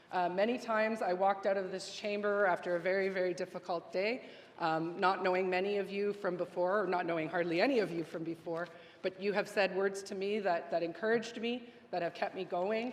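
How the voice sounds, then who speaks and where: Over noticeable background noise, a woman talks at a fairly quick pace and medium pitch with fairly even intonation. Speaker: legislator. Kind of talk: farewell speech. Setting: legislative chamber. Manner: fast.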